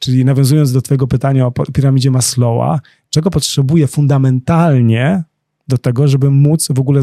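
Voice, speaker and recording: A somewhat breathy man's voice, fairly high in pitch with a dark, mellow tone, dry and close with no echo. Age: 40s. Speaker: coach, dancer and choreographer. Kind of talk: interview.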